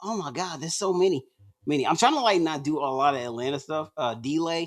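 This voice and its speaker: The speech moves at a fairly quick pace in an American accent. The recording is very clean, with a silent background. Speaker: stand-up comedian. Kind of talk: casual interview chat.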